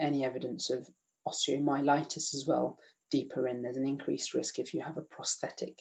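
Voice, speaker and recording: The speaker talks at a fairly quick pace with a British accent. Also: man. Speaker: emergency medicine doctor teaching. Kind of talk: online lecture quiz. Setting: video call. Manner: fast; halting with many fillers.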